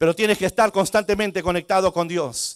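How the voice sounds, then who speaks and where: The speaker is a man. His recording is very clean, dry and close, with a silent background and no echo. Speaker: pastor. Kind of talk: sermon.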